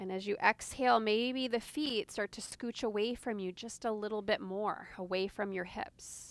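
The woman's tone is soothing and warm, with ordinary pitch variation. Her voice sounds dry, with no echo. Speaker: yoga instructor. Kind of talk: guided yoga class, giving calm step-by-step cues. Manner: soothing, even-paced, gently instructive; warm, lightly humorous. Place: garden.

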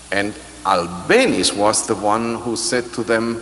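Behind a man's voice there is light background noise. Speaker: orchestra conductor. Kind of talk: pre-concert interview. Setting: stage with audience. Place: hall. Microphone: handheld.

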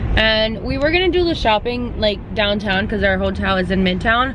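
Speaking at a fairly quick pace with very even loudness, a woman is recorded with a dry sound with no echo and noticeable background noise. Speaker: vlogger. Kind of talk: casual vlog chat. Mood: cheerful, chatty. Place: car. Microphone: phone near.

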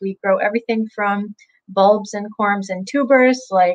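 Against a quiet background, a woman speaks at a moderate pace with ordinary pitch variation, in a dry sound with no echo. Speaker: interview guest. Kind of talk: interview answer. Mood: friendly, enthusiastic. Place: home room. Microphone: video call.

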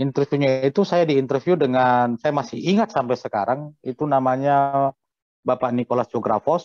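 A man uses an ordinary speaking voice at a fairly high pitch and moderate pace, with ordinary pitch variation and very even loudness. The sound is dry with no echo, over a quiet background. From North Sumatra, Simalungun (Pematang Siantar); North Sumatra. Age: 40s. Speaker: hotel manager; guest. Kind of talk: interview. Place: home room. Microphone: video call.

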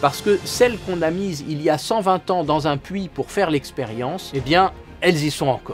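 Faint music plays in the background as a man speaks at a moderate pace in a playful tone. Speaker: naturalist storyteller. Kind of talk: educational nature storytelling. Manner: playful, humorous. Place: studio.

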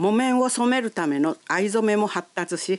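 A woman with a medium-pitched voice speaks at a fairly slow pace with lively intonation, the sound dry and close with no echo. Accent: Ehime. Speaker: local guide narrator. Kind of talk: local shop introduction narration.

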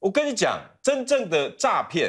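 The background is quiet. A man speaks in an animated tone. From Taiwan. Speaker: talk show guest commentator. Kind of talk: talk show panel debate. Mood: indignant, critical. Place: studio. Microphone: lapel.

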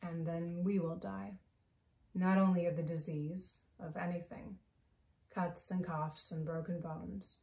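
A woman speaks at a fairly slow pace in a fairly low, somewhat breathy voice with a dark, mellow tone and ordinary pitch variation. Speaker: actor performing a monologue. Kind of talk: theatrical monologue. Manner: animated, emotional; conversational, confessional. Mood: emotional, sombre. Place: home room. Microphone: phone near.

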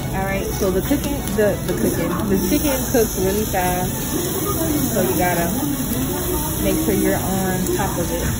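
Speech at a fairly slow pace under loud background noise. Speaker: vlogger. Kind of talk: casual vlog chat. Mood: relaxed, amused. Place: cafe. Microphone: phone near.

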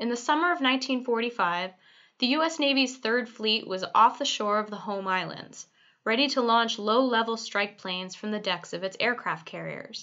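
Using an unremarkable speaking voice, a woman talks at a moderate pace and fairly high pitch with ordinary pitch variation. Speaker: museum narrator. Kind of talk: documentary history narration. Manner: formal, measured, even-paced, authoritative.

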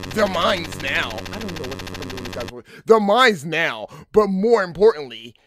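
Pitch varies ordinarily throughout this natural reading voice.

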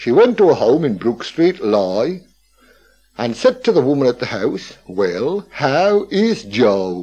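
A man's dark, mellow voice at a fairly high pitch, very slow, with vocal fry and very wide pitch swings. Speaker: local historian. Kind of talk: radio talk, storytelling. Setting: radio broadcast. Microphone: old recording.

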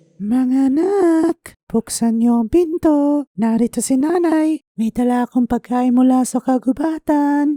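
A female-sounding, put-on character voice speaks at a high pitch in a gentle tone. The pace is very slow. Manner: gentle, sweet, deceptive.

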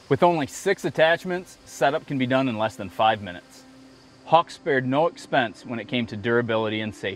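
Faint music plays in the background as a man talks in a dry sound with no echo. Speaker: outdoor TV show host presenting a product. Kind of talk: product presentation.

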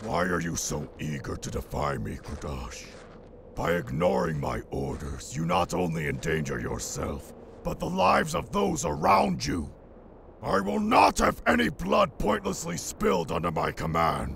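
A man puts on a raspy character voice with a very deep, low pitch. Clear background noise runs behind him. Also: moderate pace. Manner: stern, authoritative.

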